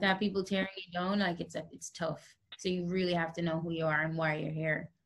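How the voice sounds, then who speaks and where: A woman's fairly low, somewhat breathy voice in a flat monotone at a fairly quick pace. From Jamaica. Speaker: singer-songwriter. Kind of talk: interview answer.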